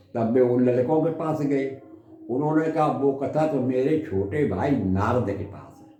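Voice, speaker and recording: Loudness swings widely over noticeable background noise. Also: man, medium pitch for a man, ordinary pitch variation. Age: 80s+; old. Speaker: retired village development officer. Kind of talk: religious storytelling in conversation.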